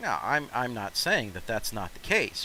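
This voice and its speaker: A man talks with an American accent. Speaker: gaming streamer. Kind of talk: casual gameplay chat.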